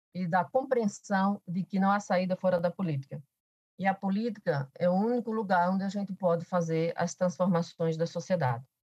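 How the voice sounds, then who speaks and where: A woman with a Paraíba accent speaks at a moderate pace in a medium pitch, somewhat breathy, with ordinary pitch variation. The sound is dry and close, with no echo. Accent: Paraíba northeastern Brazilian. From Paraíba, Brazilian Northeast (Alto Sertão). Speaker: professor and politician. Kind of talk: podcast interview.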